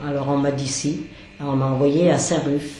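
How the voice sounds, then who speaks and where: Amid noticeable background noise and audible room echo, a woman speaks fairly slowly with monotone, flat intonation. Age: 70s. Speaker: charity volunteer cook. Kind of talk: interview. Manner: halting.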